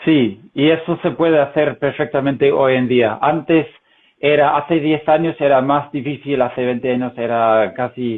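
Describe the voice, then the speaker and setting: A man speaks with a slight non-native accent at a fairly slow pace. His pitch is fairly high and his intonation fairly even. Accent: good Spanish accent, slight foreign tones. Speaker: professional translator. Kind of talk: casual interview chat. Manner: hesitant, many fillers.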